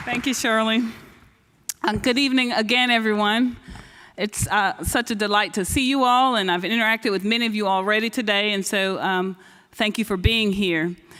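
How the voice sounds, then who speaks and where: A woman's bright, sharp voice, fairly high in pitch, with fairly even intonation. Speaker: science foundation program director. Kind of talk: conference speech. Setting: stage with audience. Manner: fast.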